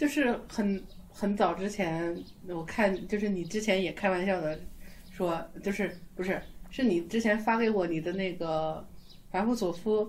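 A woman's unremarkable speaking voice, medium in pitch with ordinary pitch variation and a fairly slow pace. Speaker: podcast host. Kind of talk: casual chat.

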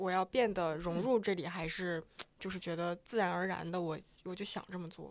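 It is an ordinary speaking voice: a woman at medium pitch, fairly quick, with ordinary pitch variation. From eastern Inner Mongolia, in the Northeast China region. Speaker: podcast producer. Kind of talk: casual chat. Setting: office.

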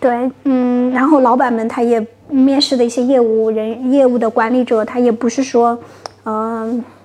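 A woman's high-pitched voice comes at a moderate pace with monotone, flat intonation. Noticeable background noise is present. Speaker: HR consultant. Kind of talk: interview.

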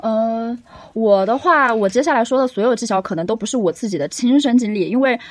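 A plain, everyday voice from a woman, fairly high-pitched and fairly quick, with ordinary pitch variation. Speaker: podcast co-host, English teacher. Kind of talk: casual chat.

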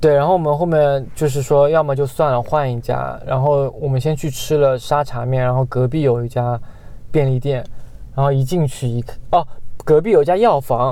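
The man's pitch sits fairly high. He uses an ordinary speaking voice, and his intonation is fairly even. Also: moderate pace. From Guangxi / Yunnan, China. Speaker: podcast co-host. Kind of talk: casual chat.

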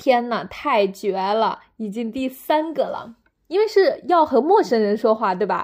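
Against a quiet background, a woman with a slight Northeast Chinese accent and a fairly high pitch speaks at a moderate pace in an animated tone. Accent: slight northeastern-sounding Mandarin. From northern China. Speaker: podcaster. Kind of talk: casual solo monologue. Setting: at home.

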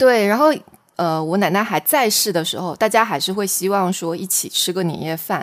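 Here is a woman with an unremarkable speaking voice at medium pitch. She talks at a moderate pace with lively intonation. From Xiamen, Fujian, China. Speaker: podcast co-host, new mother. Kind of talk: casual chat.

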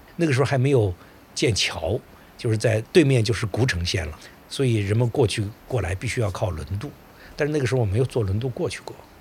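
Talking at a fairly quick pace, a man uses lively intonation at a medium pitch. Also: long, frequent pauses. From Suizhou, northern Hubei, China. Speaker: historian. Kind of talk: interview storytelling. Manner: halting, many filler sounds.

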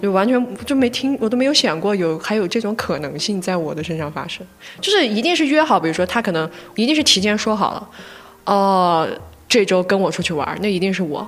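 Speaking at a fairly quick pace, the voice carries a slight Gansu accent. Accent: slight Lanzhou. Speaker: podcast co-host. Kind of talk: casual chat.

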